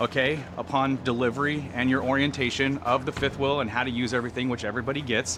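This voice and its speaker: A man races along at a very fast pace while noticeable background noise carries on. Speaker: RV salesman. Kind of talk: product walkthrough.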